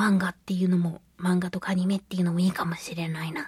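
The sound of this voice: The voice has a slightly mellow tone with a slightly husky edge, recorded with a dry, close sound and no echo. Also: woman.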